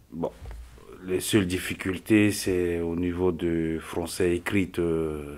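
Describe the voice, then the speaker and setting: Very slow and monotone, a man's very deep, low voice stays flat throughout. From Central African Republic. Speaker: vocational trainee. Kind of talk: testimony.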